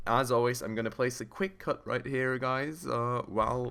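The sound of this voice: A man's clear, smooth tone at a moderate pace.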